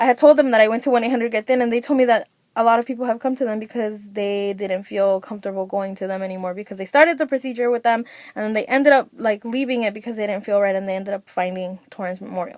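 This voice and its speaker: Her fairly high voice moves at a very fast pace, with ordinary pitch variation, as this woman speaks. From Mexican-American, US. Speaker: vlogger. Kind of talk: personal vlog testimony.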